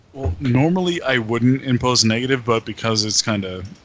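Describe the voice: The passage is given as plain reading aloud, with ordinary pitch variation.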